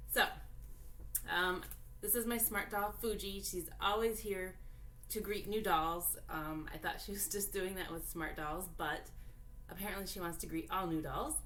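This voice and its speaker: Long, frequent pauses mark a woman's medium-pitched speech, with ordinary pitch variation and audible room echo. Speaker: doll collector YouTuber. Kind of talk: unboxing video, casual chat. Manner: deliberately loud; hesitant, many fillers.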